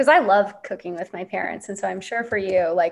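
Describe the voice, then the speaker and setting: Using an unremarkable speaking voice, a woman talks at a fairly quick pace with ordinary pitch variation. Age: 30s. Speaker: podcast host. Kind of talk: casual interview chat.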